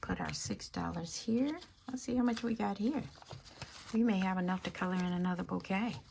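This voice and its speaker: A woman's fairly quick, lively-intoned speech over noticeable background noise. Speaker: budgeting YouTuber. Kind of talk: cash stuffing tutorial. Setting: at home, early morning. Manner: quiet, talking low.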